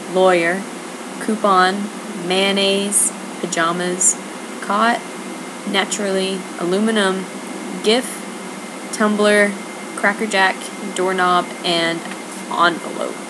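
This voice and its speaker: A quiet woman with an American accent, very slow with long, frequent pauses, monotone and flat in intonation, very even in loudness, with audible room echo and noticeable background noise. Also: medium pitch for a woman. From US South. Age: young. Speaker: video blogger. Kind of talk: casual monologue. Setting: at home, others asleep.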